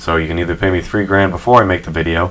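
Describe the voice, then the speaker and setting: A soft-spoken man talks at a very fast pace in a very deep, low pitch. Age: 20s. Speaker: podcast host and gamer YouTuber. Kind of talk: casual chat.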